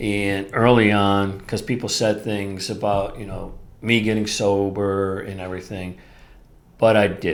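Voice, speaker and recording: A man's voice with audible room echo. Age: 60s. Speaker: podcast host. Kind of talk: solo podcast talk.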